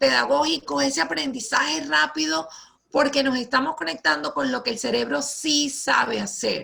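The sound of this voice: A woman speaks at a high pitch with a bright, sharp tone. Her voice carries vocal fry and ordinary pitch variation.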